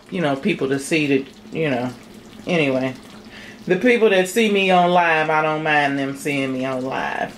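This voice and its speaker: Amid noticeable background noise and audible room echo, a woman with a very deep, low pitch speaks at a moderate pace with lively intonation. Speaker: home cooking channel host. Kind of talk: casual cooking tutorial. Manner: animated.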